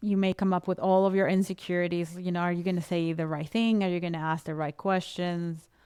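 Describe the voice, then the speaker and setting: A woman with a non-native accent speaks at a fairly low pitch in a dark, mellow tone with fairly even intonation, recorded very cleanly against a silent background. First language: not English. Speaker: podcast coach. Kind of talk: casual chat.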